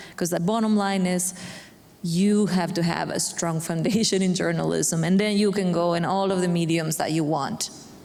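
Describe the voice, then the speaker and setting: In a room with audible echo and noticeable background noise, a woman with a non-native accent talks at a moderate pace. Her pitch is fairly low, her intonation fairly even, and her loudness very even. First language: Spanish. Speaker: bilingual journalist. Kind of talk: panel discussion.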